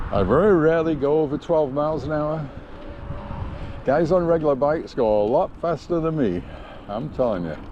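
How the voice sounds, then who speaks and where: A man at a fairly high pitch and a fairly quick pace, with ordinary pitch variation, long, frequent pauses, audible room echo and noticeable background noise. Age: 70s. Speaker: vlogger. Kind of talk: casual vlog narration while riding. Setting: outdoors on a bike trail. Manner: casual, halting with fillers.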